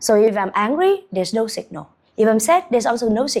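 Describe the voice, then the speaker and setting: A woman talks in a Vietnamese accent at a fairly high pitch. Her pitch swings very widely. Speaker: business coach and founder. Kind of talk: motivational monologue.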